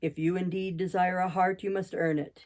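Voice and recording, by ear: Using a put-on character voice, a woman growls in a gruff, monotone, flat delivery at a moderate pace.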